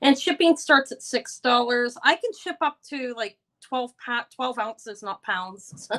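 A woman speaks loudly at a fairly slow pace, her fairly high pitch carrying lively intonation and a bright, sharp tone.

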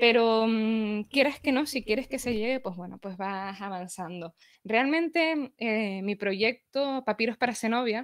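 Against a quiet background, a woman speaks fairly slowly with ordinary pitch variation. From Canary Islands, Tenerife; Canary Islands. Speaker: history blogger; guest, history blogger. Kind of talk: casual chat. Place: home room. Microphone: video call.

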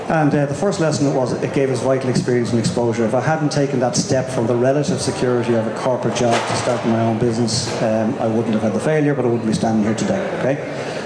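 Over loud background noise and audible room echo, a man talks at a very fast pace with hardly any pauses. His pitch varies in an ordinary way. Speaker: speaker. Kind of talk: presentation talk. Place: hall. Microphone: handheld.

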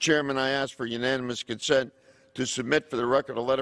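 A man talks at a fairly quick pace with a monotone, flat intonation. The background is quiet. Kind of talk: floor speech. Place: hall. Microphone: podium.

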